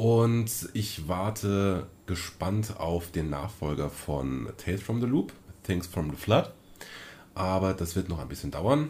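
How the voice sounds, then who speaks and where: A man's very deep, low voice, somewhat breathy, with lively intonation at a very slow pace. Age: 30s. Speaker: podcast co-host, role-playing game master. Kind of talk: casual chat.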